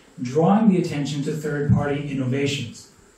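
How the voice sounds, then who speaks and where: There is audible room echo and light background noise as a man speaks at a moderate pace. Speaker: presenter. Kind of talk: presentation. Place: hall.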